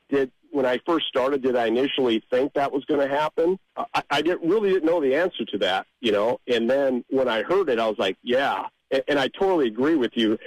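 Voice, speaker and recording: A man with an American accent, fairly high pitch, lively intonation, a fairly quick pace, hardly any pauses, very even loudness and a dry, close sound with no echo. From Nebraska, Omaha. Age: 60s. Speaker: amateur songwriter. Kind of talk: interview. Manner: halting.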